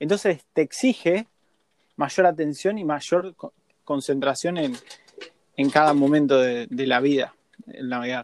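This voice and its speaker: A man with a Rioplatense accent talks at a fairly slow pace, pausing long and often. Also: fairly high pitch for a man, ordinary pitch variation. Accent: Argentine Spanish (rioplatense). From Argentina. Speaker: sailor. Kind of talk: interview.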